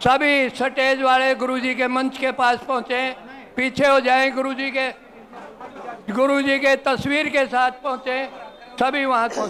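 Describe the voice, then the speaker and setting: A man projects his voice at an extremely high pitch in a monotone, flat way, against noticeable background noise. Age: 70s. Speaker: community elder. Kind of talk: public speech at ceremony.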